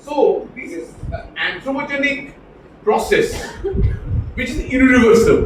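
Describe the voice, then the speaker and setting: With noticeable background noise and audible room echo, a man speaks at an extremely high pitch, his pitch swinging very widely. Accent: Bengali. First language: Bengali. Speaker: professor. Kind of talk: lecture.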